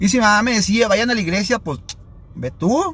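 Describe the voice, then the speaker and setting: Very wide pitch swings mark a man's fairly quick delivery. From Sinaloa, Mexico (Los Mochis). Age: 30s. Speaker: addiction prevention speaker. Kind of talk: live stream talk. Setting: live stream.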